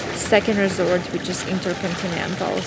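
Loud background noise surrounds a woman's voice. The sound is dry with no echo. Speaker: travel vlogger. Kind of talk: casual vlog chat. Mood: cheerful, relaxed. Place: boat. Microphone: phone near.

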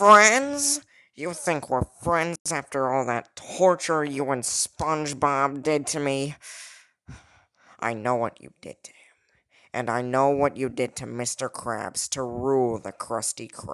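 This is a put-on character voice at a low-to-middle pitch. It moves at a fairly slow pace against a quiet background. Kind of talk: 1930s gangster film parody. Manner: accusing, resentful.

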